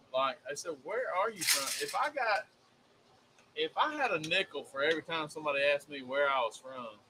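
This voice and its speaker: A man talks at a fairly quick pace with an American accent, fairly high pitch and lively intonation. Noticeable background noise is present. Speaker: cooking show co-host. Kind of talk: casual chat. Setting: live stream studio.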